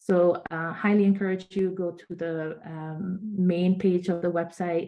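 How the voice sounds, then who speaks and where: Speaking fairly slowly, a woman with a normal speaking voice keeps a fairly low pitch and fairly even intonation. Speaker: nonprofit organization leader. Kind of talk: virtual conference presentation.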